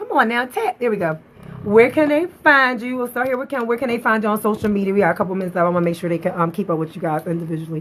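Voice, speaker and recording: Talking at a very fast pace, a woman uses lively intonation at medium pitch. Noticeable background noise can be heard. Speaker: faith-based talk show host. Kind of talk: livestream interview with altar call. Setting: live social media stream. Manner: loud; animated, preachy.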